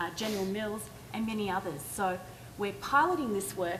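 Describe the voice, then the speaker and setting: Someone with an Australian accent talks at a fairly quick pace with lively intonation. Noticeable background noise and audible room echo fill the recording. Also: woman. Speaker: education nonprofit leader. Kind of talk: conference panel talk. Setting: stage with audience.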